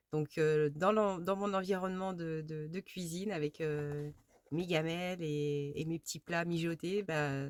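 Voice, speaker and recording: With a fairly low pitch, a woman talks at a very slow pace. Her pitch varies in an ordinary way, and the sound is dry and close with no echo. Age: 50s. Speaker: crafts vlogger. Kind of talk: casual chat. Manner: halting, many fillers and repetitions.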